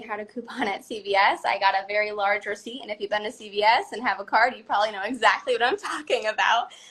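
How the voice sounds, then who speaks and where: A woman talks at a very fast pace with an American accent. Her voice sits fairly high. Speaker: pageant titleholder. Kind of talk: live interview.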